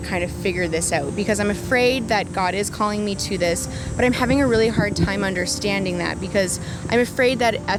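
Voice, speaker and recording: A woman with a Canadian accent speaks at a fairly quick pace and a medium pitch, with ordinary pitch variation. Music plays in the background, and room echo is audible. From Canada, Saskatchewan and northern Ontario. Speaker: ministry student. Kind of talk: interview; testimony.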